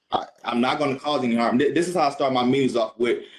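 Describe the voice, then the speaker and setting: Here a man speaks with fairly even intonation. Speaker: former sheriff's deputy. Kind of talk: testimony. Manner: loud; halting.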